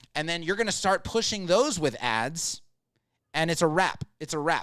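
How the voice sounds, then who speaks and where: A man speaks at a high pitch with ordinary pitch variation. The recording is very clean, with a silent background. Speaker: live show host and agency owner. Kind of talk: live Q&A advice chat. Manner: fast.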